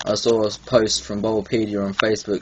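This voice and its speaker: The recording of this man has noticeable background noise. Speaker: gaming YouTuber. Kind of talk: video game review. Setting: home recording, bad lighting. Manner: frequent filler ums, hesitant.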